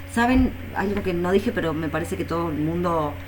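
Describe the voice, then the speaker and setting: The speech moves at a fairly quick pace. Room echo is audible and background noise is noticeable. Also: woman. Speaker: philosophy professor. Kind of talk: lecture.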